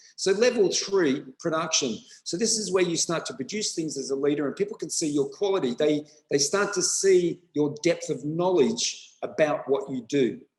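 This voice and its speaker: With an Australian accent, a man speaks at a high pitch and a moderate pace. His intonation is lively. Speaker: school principal. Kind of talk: webinar presentation.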